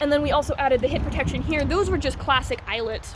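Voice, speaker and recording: A woman talks at a very fast pace while noticeable background noise fills the clip. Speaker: SCA heavy armored fighter. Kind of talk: casual talk to camera. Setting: indoor basketball court. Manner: fast-talking at times.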